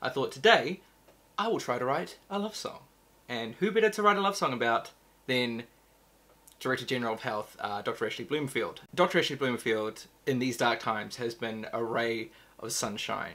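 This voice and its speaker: A man talks at a moderate pace in a bright, sharp tone. His pitch swings very widely. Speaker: musician vlogger. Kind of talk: casual vlog chat. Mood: playful, joking. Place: home room. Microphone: studio mic.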